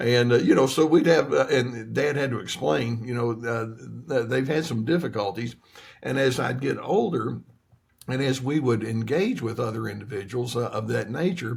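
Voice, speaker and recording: A man with an American accent talks at a medium pitch with ordinary pitch variation. His voice is somewhat breathy, and his pace is moderate. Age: 70s. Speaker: therapist. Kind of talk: interview. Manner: halting, many fillers and repeats.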